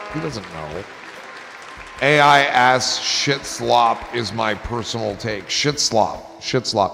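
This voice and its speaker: With crowd noise in the background, a man speaks at a very slow pace in a medium-pitched voice with lively intonation. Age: 50s. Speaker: live stream host. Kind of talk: casual live stream chat.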